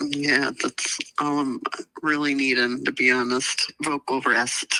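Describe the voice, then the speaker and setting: Strained and very slow, a woman speaks at a very deep, low pitch in a monotone, flat intonation, with a dry, close sound and no echo. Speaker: podcast co-host, mother. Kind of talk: casual chat. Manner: strained, barely able to talk.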